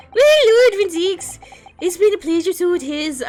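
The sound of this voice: Squeaky and extremely high-pitched, this put-on character voice uses an Irish accent at a moderate pace.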